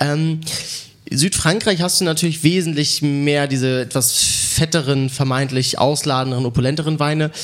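Over noticeable background noise, a man with a fairly high pitch speaks at a moderate pace, with very even loudness and fairly even intonation. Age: young. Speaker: sommelier. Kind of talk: wine tasting commentary. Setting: wine club venue.

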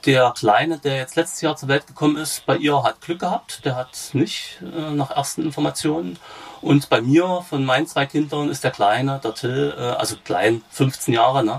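A man's fairly high voice, with ordinary pitch variation, moves at a moderate pace against noticeable background noise. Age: 40s. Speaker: patient with rare disease, peer supporter. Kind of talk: interview. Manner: halting, many fillers.

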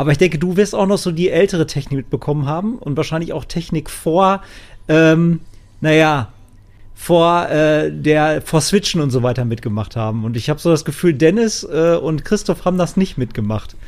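With an unremarkable speaking voice, a man talks at a moderate pace and with lively intonation in a very clean recording over a silent background. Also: fairly high pitch for a man. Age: 30s. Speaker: gaming podcast co-host. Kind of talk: casual chat.

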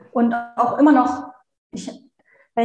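The pitch of this woman sits fairly high. She delivers her words at a fairly quick pace. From Germany, Hannover. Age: 30s. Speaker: virtual assistant. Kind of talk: interview, personal story.

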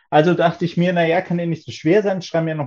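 His tone is dark and mellow. The man's pitch is fairly high. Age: 30s. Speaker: doctoral student in economics. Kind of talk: casual interview chat.

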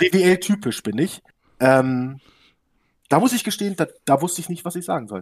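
On a very clean recording with a silent background and a dry, close sound with no echo, a man with a high pitch speaks at a moderate pace in an animated tone with lively intonation. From Hannover region, northern Germany. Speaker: sim racing team founder. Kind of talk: casual interview.

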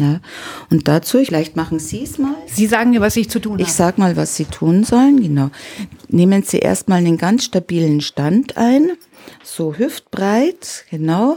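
Against noticeable background noise, a woman at a medium pitch talks at a moderate pace with very wide pitch swings. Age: 60s. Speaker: self-defence trainer and trauma therapist. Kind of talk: interview.

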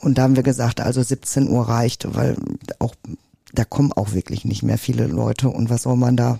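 At a moderate pace, a woman with very deep, low pitch talks in a monotone, flat way, the sound dry and close with no echo. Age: 40s. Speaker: Christmas tree farmer. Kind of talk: casual chat. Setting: at a kitchen table, in a home.

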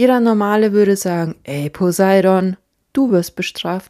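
A woman's dark, mellow tone at a medium pitch, fairly slow pace and ordinary pitch variation, in a dry, close sound with no echo. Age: 30s. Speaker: podcast host. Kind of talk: solo monologue podcast.

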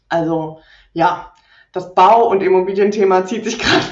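A woman with an unremarkable speaking voice. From Rhineland, Germany. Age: 30s. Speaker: property investor and landlord. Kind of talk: podcast interview.

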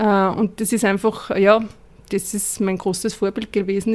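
The recording is very clean with a silent background. The speaker's intonation is monotone and flat. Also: woman. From Upper Austria. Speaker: sustainability consultant. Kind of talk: interview. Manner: halting.

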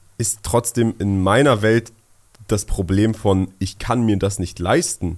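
A man with an ordinary speaking voice, fairly low pitch and ordinary pitch variation. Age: 20s. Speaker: podcast co-host, young entrepreneur. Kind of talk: casual chat.

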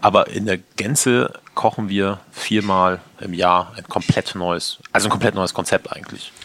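A man talks at a fairly low pitch and a fairly slow pace with fairly even intonation. His loudness swings widely, and there is noticeable background noise. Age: 30s. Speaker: chef and restaurant owner. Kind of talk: interview. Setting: in his restaurant.

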